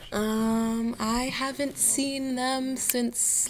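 Noticeable background noise behind a woman with an American accent. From US, Washington DC. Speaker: student. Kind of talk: interview. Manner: hesitant, many fillers.

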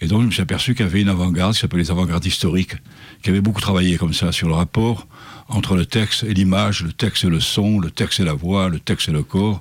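Very fast and very deep, a man's voice holds a very low pitch. His loudness is very even and his intonation fairly even. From Provence, southern France. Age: 70s. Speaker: poet. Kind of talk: interview.

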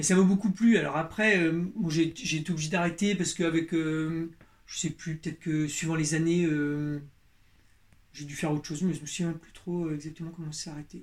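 A man talks at a moderate pace with fairly even intonation. His pitch is fairly high. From Berry, central France. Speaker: leather craftsman. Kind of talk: interview. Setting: workshop. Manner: halting, many repetitions.

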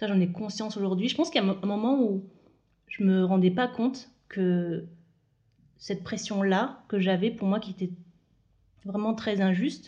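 Somewhat breathy and dark, mellow in tone, a woman's medium-pitched voice moves at a moderate pace with ordinary pitch variation and long, frequent pauses. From France, Moselle (Lorraine, north-east). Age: 30s. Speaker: podcast guest sharing personal story. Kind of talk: personal interview conversation.

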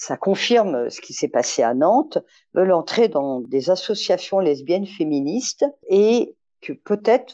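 Against a quiet background, a woman with a dark, mellow tone and medium pitch talks at a fairly slow pace, her pitch swinging very widely. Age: 60s. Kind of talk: testimony.

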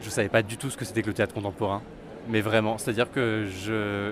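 With a plain, everyday voice at medium pitch, a man speaks at a fairly quick pace. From France, Auvergne (Vichy). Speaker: theatre critic youtuber. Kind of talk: interview.

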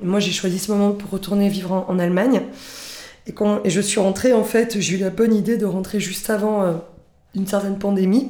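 In a medium pitch, a woman speaks at a moderate pace with a dark, mellow tone and flat, monotone intonation. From Corsica, Balagne. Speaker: cultural association founder. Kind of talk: interview. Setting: radio studio. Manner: hesitant, many fillers.

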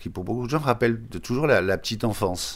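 A man is speaking. His voice has vocal fry. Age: 70s. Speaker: shoemaker. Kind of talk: interview testimony. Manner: halting, many repetitions.

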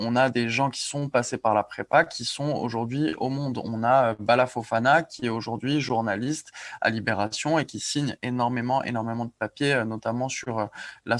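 A man with an unremarkable speaking voice speaks at a moderate pace and medium pitch, with fairly even intonation and a dry, close sound without echo. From Corsica. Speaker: editor-in-chief of a news outlet. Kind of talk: casual interview.

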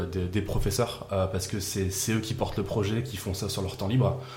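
A man's fairly low voice at a fairly quick pace, with fairly even intonation, noticeable background noise and audible room echo. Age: 30s. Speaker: improv actor and event organiser. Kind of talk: casual chat.

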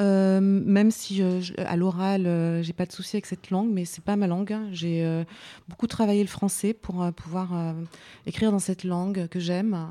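On a very clean recording with a silent background, a woman with a dark, mellow tone speaks at a fairly slow pace and medium pitch in monotone, flat intonation. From France, Vosges. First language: not French (speaking French). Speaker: singer-songwriter. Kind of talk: radio interview. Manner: halting.

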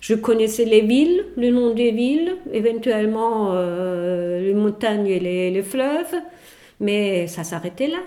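A woman with a German accent speaks at a very slow pace, her fairly high voice dark and mellow in tone with lively intonation. Audible room echo fills the recording. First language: German (speaking French). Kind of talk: casual chat.

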